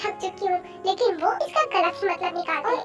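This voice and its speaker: With clear music in the background, a woman performs a put-on character voice at an extremely high pitch. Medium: fan dub. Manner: respectful but exasperated.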